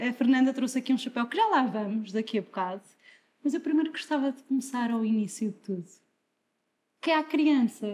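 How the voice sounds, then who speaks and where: Her voice is high-pitched, with lively intonation and a fairly quick pace. This woman leaves long, frequent pauses. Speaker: podcast host. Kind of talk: interview.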